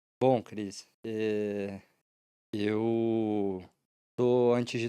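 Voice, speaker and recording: A man's dark, mellow voice with fairly even intonation comes through on a very clean recording with a silent background. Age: 20s. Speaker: Paralympic swimmer and law student. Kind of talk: podcast interview.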